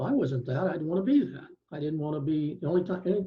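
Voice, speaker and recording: A man with an American accent sounds somewhat breathy, with ordinary pitch variation. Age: 60s. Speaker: law professor and retired attorney. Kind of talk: panel discussion. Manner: halting, many fillers.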